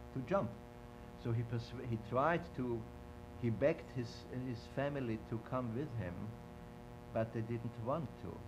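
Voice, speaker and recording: A man's medium-pitched voice at a fairly slow pace, with long, frequent pauses and audible room echo. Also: ordinary pitch variation. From Vienna, Austria. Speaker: Holocaust-era witness interviewee. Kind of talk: oral history interview. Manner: halting, with many repetitions.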